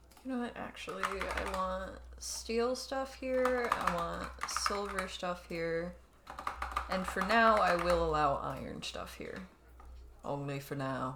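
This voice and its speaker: Very slow pace with noticeable background noise. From California, moved around the US. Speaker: video game streamer. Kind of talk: live game commentary chat. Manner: clear spoken; casual, chatty.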